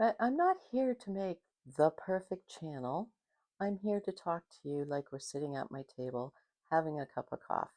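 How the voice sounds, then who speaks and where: A fairly low woman's voice, dark and mellow in tone, with very wide pitch swings, a moderate pace and a dry, close sound with no echo. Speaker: video blogger. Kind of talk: casual monologue to camera. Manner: stutters sometimes, trips over words; conversational, unscripted.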